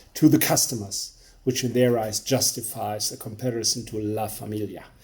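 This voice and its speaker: A man with a German accent and a dark, mellow tone. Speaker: beer reviewer. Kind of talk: product review monologue. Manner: halting.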